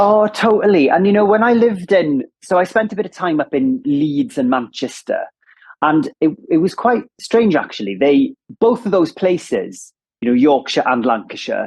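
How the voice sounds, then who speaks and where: Delivered at a moderate pace in a strong Welsh accent, the speech has very wide pitch swings. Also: man, high pitch for a man. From south Wales, Ammanford. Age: 30s. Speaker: radio presenter. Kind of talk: casual chat.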